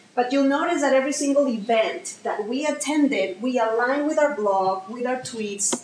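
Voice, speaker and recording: Amid noticeable background noise, a woman talks at a moderate pace in a high pitch. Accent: Mexican. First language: Spanish. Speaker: social media marketing speaker. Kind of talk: presentation. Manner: animated, conversational.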